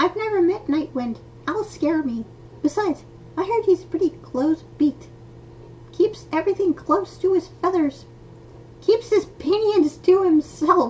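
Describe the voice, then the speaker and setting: A squeaky, extremely high-pitched put-on character voice at a moderate pace, with long, frequent pauses and clear background noise. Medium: read story. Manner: nervous, talkative.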